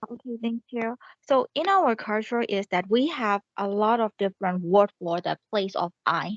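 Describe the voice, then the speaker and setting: In a Burmese accent, a woman speaks at a moderate pace with a fairly high pitch and ordinary pitch variation. The sound is dry and close, with no echo. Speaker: student. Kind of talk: class presentation. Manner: halting.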